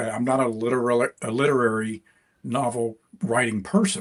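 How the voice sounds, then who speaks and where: A slight Deep South accent at a moderate pace. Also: man. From US South, rural East Mississippi. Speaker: crime fiction author. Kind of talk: interview. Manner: halting, many fillers and repeats.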